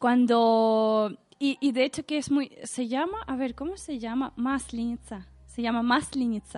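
A woman speaks at a high pitch with ordinary pitch variation. Her pace is fairly slow, with hardly any pauses. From Russia, Saint Petersburg. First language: Russian (speaking Spanish). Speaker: podcast listener guest. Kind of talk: casual chat.

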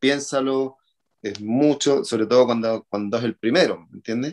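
Speaking at a moderate pace and medium pitch, a man with an unremarkable speaking voice keeps his intonation fairly even in a dry, close sound with no echo. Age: 40s. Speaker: triathlon coach. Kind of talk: interview.

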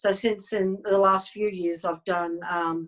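A woman talks at a moderate pace and medium pitch. She speaks with an Australian accent. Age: 60s. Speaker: energy healer and hypnotherapist. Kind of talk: interview. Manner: hesitant, many fillers.

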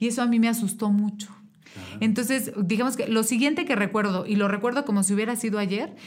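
Audible room echo surrounds a voice moving at a fairly quick pace with fairly even intonation. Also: woman. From Mexico (Querétaro). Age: 30s. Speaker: political candidate. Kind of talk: interview.

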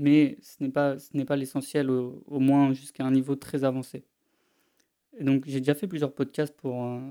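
A man's dark, mellow voice, fairly high in pitch. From France. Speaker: language-learning podcaster. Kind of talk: solo podcast monologue.

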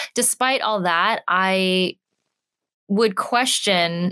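A woman with an American accent talks at a medium pitch in a normal speaking voice. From California. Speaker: advertising strategist and platform founder. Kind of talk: interview. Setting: studio.

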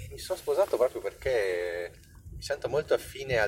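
Fairly rapid speech from a man, plus noticeable noise in the background. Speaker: podcaster. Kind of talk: casual monologue while driving.

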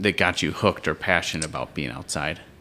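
A man's bright, sharp tone comes through with an American accent. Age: 30s. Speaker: podcast host. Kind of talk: casual interview. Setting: at a guest's parents' house. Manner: halting, many fillers.

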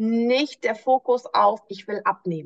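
Here is a woman with a normal speaking voice. Her pitch is fairly high and varies in an ordinary way. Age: 30s. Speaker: nutrition coach. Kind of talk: interview.

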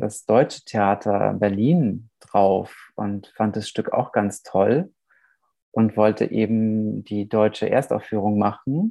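A man with a fairly low-pitched voice talks at a very slow pace. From Germany, Nuremberg (born in Romania). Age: 30s. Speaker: playwright. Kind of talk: interview.

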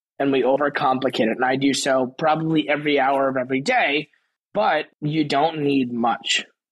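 At a moderate pace, a man speaks with fairly even intonation in an ordinary speaking voice. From New York, Queens and Long Island. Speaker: venture capital professional. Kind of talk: interview.

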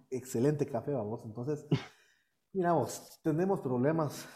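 A man speaks at a moderate pace in a dark, mellow tone that is somewhat breathy, with ordinary pitch variation. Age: 30s. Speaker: deacon and youth minister. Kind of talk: interview.

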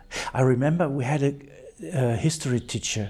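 A man with a German accent speaks at a moderate pace in a dark, mellow tone that is somewhat breathy. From East Germany, rural northeast near Polish border. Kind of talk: personal testimony interview. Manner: halting.

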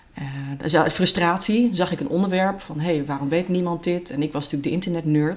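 A woman moves at a fairly quick pace, her pitch showing ordinary variation. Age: 40s. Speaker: creativity trainer and entrepreneur. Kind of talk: interview. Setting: at a kitchen table in a private home. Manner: halting, many fillers.

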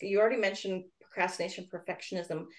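A woman speaks at a medium pitch. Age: 40s. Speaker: podcast host and coach. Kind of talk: interview. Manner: animated.

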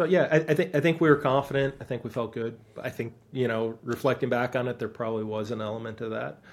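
Very fast and medium-pitched, a man talks with an Upper Midwest accent and ordinary pitch variation. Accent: Upper Midwest American. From Wisconsin (Stevens Point). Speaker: college soccer coach. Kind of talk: interview.

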